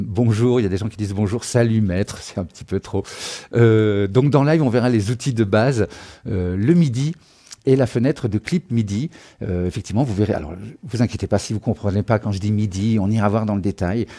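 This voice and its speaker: A dark, mellow tone at a fairly quick pace, with ordinary pitch variation. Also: man, fairly low pitch for a man. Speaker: music production trainer. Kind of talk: live-streamed tutorial. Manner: fast; hesitant, many fillers.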